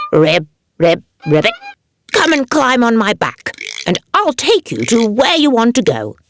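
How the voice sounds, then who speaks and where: A put-on character voice, croaky and fairly high in pitch. It comes with long, frequent pauses over background music. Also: moderate pace. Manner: friendly, offering help.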